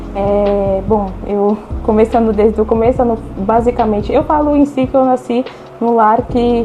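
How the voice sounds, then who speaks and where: Music plays behind a woman who speaks at a fairly high pitch and moderate pace with ordinary pitch variation. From Brazil, São Paulo. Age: 20s. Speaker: young entrepreneur giving faith testimony. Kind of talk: testimony.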